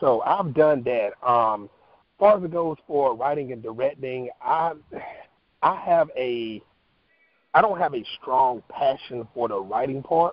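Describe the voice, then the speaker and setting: An ordinary speaking voice with an American accent talks at a fairly slow pace. The intonation is lively, and the loudness swings widely. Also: man, medium pitch for a man. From North Carolina. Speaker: actor and talk show host. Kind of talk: interview.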